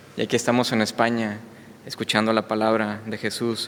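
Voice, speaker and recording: A moderate pace with a slight Mexican accent. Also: man. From Mexico. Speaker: visiting preacher. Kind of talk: sermon. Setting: church. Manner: hesitant, many fillers.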